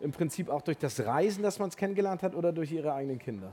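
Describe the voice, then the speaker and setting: The speaker talks at a very fast pace. The recording is very clean, with a silent background. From Hamburg. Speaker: event moderator. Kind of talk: live stage interview. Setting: stage with audience.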